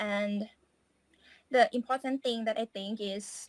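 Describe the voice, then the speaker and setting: A woman speaks with a Thai accent at a fairly high pitch, with ordinary pitch variation and a very slow pace. The recording is very clean with a silent background, and the sound is dry and close with no echo. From Thailand. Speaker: English student. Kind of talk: interview.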